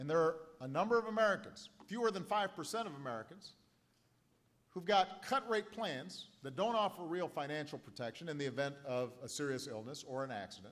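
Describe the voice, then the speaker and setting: With an unremarkable speaking voice, a man talks at a fairly quick pace in a fairly high pitch, his intonation lively. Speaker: politician giving a speech. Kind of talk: political speech to a live crowd. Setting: live rally with audience applause.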